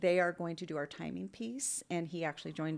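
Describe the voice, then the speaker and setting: A woman speaks with a very deep, low pitch and vocal fry. The recording is very clean, with a silent background. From Inland Northwest (Coeur d'Alene / Spokane). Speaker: paramedic and nonprofit founder. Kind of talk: casual interview. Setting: library, in person.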